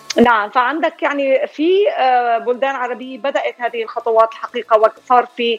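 With noticeable background noise but a dry, close sound with no echo, a woman speaks at a moderate pace in a high voice with ordinary pitch variation. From Syria. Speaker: psychology professor and writer. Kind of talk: radio interview.

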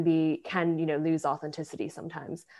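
A woman speaks in a fairly low voice with an American accent. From Buffalo area, New York, US. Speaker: author and freelance editor. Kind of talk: casual interview chat.

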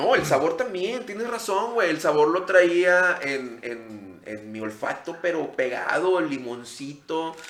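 Noticeable background noise and audible room echo surround a man speaking at a very slow pace. His fairly high voice has very wide pitch swings and big swings in loudness. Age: 30s. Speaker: podcast host. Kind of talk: casual chat.

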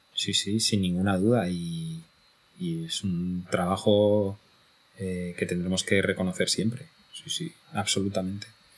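A man's very deep, low pitch, fairly even intonation and a fairly slow pace. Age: 40s. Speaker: podcaster and podcast platform executive. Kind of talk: casual chat.

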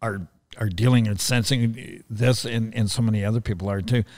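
With ordinary pitch variation, a man speaks in a fairly low voice. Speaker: podcast host. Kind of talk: casual chat. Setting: live show. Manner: halting, filler-heavy.

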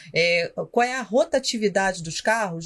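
Somewhat breathy, a woman's fairly high voice moves through very wide pitch swings. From Rio de Janeiro, Brazil. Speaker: parking industry consultant. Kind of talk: casual interview.

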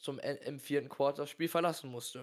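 This man's voice sits fairly high in pitch and stays monotone and flat. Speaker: sports podcast co-host. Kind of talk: casual chat.

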